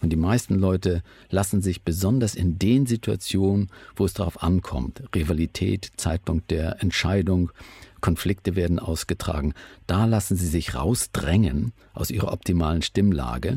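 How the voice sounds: A man speaks at a moderate pace with few pauses and a low pitch. His tone is dark and mellow with a slightly husky edge and ordinary pitch variation.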